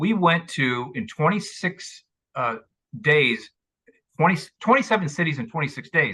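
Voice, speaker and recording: Bright and sharp in tone, a man speaks at a moderate pace in a high pitch with very wide pitch swings. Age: 60s. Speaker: author and motivational speaker. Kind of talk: interview. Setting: podcast.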